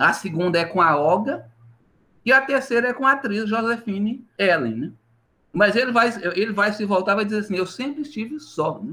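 The voice is raised and projected, with a bright, sharp tone. Its intonation is lively and the pace moderate. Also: man, high pitch for a man. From Minas Gerais, Brazil (Vale do Jequitinhonha). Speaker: history professor. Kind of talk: interview.

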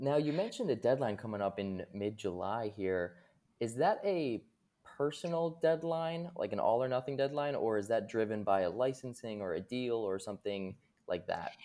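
The recording is very clean, with a silent background. A man of medium pitch speaks in a dark, mellow tone with lively intonation. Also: moderate pace. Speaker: podcast host. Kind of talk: casual interview chat.

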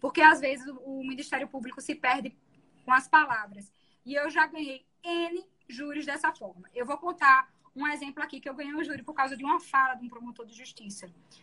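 At a fairly quick pace, a woman speaks in a bright, sharp tone with a high pitch and fairly even intonation. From Pernambuco, Brazil. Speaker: public defender. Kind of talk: casual interview. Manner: gentle.

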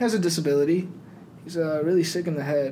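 Over noticeable background noise and audible room echo, a man speaks. His pitch is fairly high, his intonation fairly even. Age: 20s. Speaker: gym club founder. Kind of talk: casual chat.

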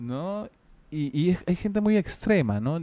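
The recording of this man is very clean, with a silent background. The sound is dry and close, with no echo. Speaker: voice actor and podcast co-host. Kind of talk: casual chat.

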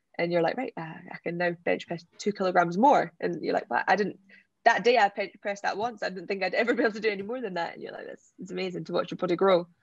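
With a Scottish accent, a woman of medium pitch races along at a very fast pace, her loudness swinging widely. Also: ordinary pitch variation. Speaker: Paralympic wheelchair sprinter. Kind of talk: interview.

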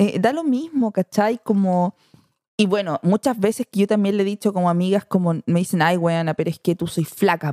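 Speaking with a Chilean accent, a woman uses a dark, mellow tone and ordinary pitch variation. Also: medium pitch for a woman, moderate pace, dry, close sound with no echo. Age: 30s. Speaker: mother and social media influencer. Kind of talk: podcast interview, casual chat.

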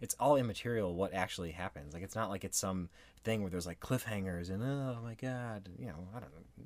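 On a very clean recording with a silent background, a man with an unremarkable speaking voice and fairly low pitch talks at a fairly quick pace with lively intonation. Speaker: podcast host. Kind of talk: casual banter between spouses.

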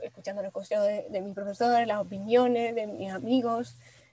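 A woman speaks at a fairly high pitch. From Venezuela, Maracay. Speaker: industrial designer. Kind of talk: interview. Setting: studio. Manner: halting.

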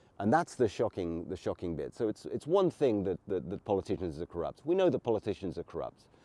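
With an English accent, a man speaks in a dark, mellow tone at a fairly low pitch. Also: dry, close sound with no echo. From England. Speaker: political commentator podcaster. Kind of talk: solo commentary monologue. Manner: halting, many fillers.

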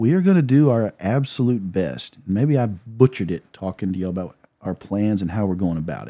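In a normal speaking voice, a man with a fairly low pitch talks at a fairly quick pace with lively intonation and big swings in loudness, in a very clean recording with a silent background. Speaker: prosecutor. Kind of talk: casual chat.

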